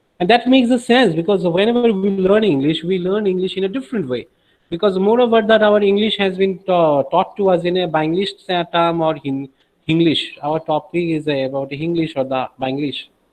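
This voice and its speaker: Talking at a fairly quick pace, a man has a high pitch and a Bengali accent. His intonation is lively. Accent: Bengali-accented Indian English. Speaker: teacher. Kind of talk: lecture.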